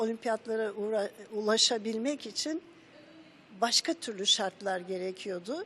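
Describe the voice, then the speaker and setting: A woman's bright, sharp, fairly high-pitched voice, at a fairly slow pace with ordinary pitch variation. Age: 70s. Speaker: former national athlete and coach. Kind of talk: interview answer.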